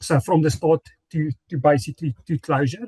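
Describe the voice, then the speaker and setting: A man speaks fairly fast at a fairly high pitch with ordinary pitch variation. His voice is somewhat breathy, and the sound is dry and close with no echo. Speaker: corporate sustainability presenter. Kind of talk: conference presentation. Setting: conference forum.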